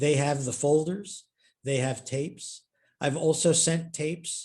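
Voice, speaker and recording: A man speaks at a fairly slow pace, somewhat breathy. His pitch is fairly high. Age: 70s. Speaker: historian and author. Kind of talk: Q&A at online author talk.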